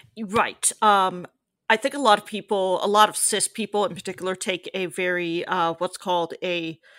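Very clean recording with a silent background of a woman with an American accent, a normal speaking voice, medium pitch, fairly even intonation and a fairly slow pace. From US. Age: 30s. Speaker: writer. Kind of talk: interview.

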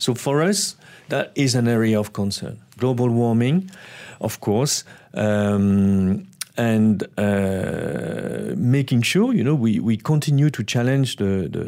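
A man with a French accent speaks at a very slow pace and medium pitch, his dark, mellow tone carrying lively intonation. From France. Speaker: non-profit director. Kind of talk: interview. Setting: studio. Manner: halting.

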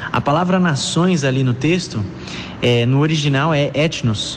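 A fairly high-pitched man against noticeable background noise. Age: 20s. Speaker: missionary. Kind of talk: testimony.

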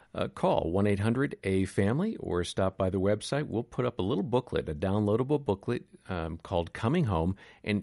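With an American accent, a man speaks in an ordinary speaking voice at a moderate pace, with a fairly low pitch and lively intonation against a quiet background. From Wisconsin. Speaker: podcast host. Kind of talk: podcast interview and outro.

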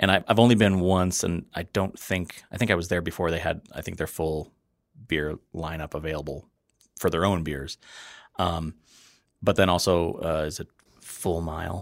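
In a Wisconsin accent, a man with a very deep, low voice speaks with fairly even intonation and long, frequent pauses on a very clean recording with a silent background. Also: moderate pace. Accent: Upper Midwest (Wisconsin) American. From US Midwest, Wisconsin (Fox River Valley). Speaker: restaurant critic and beer writer. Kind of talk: casual chat. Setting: studio.

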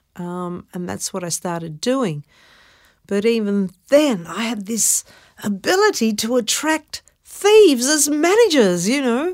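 With an Australian accent, a woman speaks at a fairly slow pace. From Melbourne, Australia. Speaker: actress and singer. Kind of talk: interview. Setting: studio.

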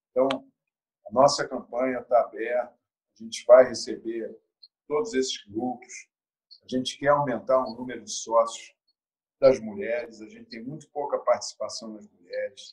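Big swings in loudness from a man speaking at a moderate pace. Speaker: football club presidential candidate. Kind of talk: interview.

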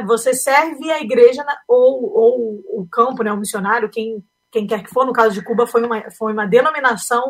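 Her pitch is high and her intonation lively. The woman talks at a moderate pace. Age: 30s. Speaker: aspiring missionary, family photographer. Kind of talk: interview.

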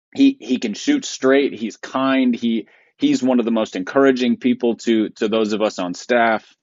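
With an ordinary speaking voice, a man talks at medium pitch and a moderate pace, keeping his intonation fairly even. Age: 40s. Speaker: pastor and podcast co-host. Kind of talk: casual chat. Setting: studio.

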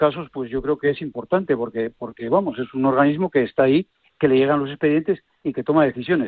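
An unremarkable speaking voice from a man, fairly high in pitch, with ordinary pitch variation. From Asturias, Spain (Villaviciosa). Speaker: sports medicine doctor. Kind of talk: radio panel discussion. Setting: phone call.

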